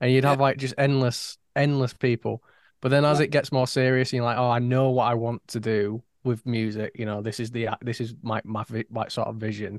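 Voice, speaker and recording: A man at medium pitch with a Yorkshire accent, fairly quick and monotone, in a dry, close sound with no echo. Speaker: podcast co-host. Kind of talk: casual chat.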